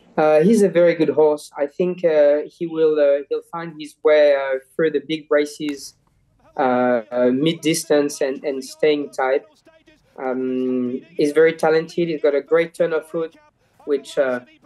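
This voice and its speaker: In a French accent, a man with a fairly high pitch and a dark, mellow tone talks at a fairly slow pace with fairly even intonation. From France. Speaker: jockey. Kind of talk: interview. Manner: halting, many repeated words.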